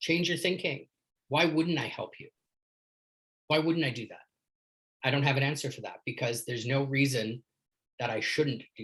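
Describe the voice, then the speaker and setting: A man with a Canadian accent at a moderate pace, fairly high in pitch with ordinary pitch variation, big swings in loudness and long, frequent pauses. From Canada. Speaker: leadership coach. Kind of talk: casual chat. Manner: animated.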